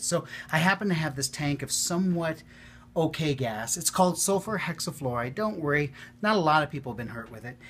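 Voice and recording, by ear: With lively intonation, a man speaks at a fairly quick pace in a fairly high pitch and a fairly bright tone.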